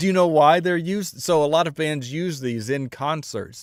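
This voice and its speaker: A man with lively intonation on a very clean recording with a silent background. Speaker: music reaction streamer. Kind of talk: casual live-stream chat. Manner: speaks higher than natural pitch.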